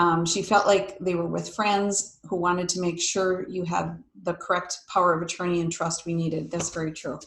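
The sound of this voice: At a moderate pace, a woman with a fairly low pitch speaks amid audible room echo.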